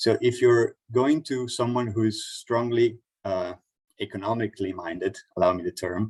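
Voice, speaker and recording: A man at a medium pitch sounds somewhat breathy in a dry, close recording with no echo. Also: ordinary pitch variation. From Italy, the Alps. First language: Italian. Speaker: workshop speaker. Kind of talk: online workshop presentation. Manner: fast.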